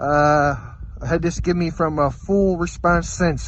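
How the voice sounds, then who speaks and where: A man's voice carries some audible room echo, with noticeable background noise underneath. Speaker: trapper, outdoor vlogger. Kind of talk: casual vlog narration. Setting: outdoors, cold trapline. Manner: loud. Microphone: phone recording, weak in cold.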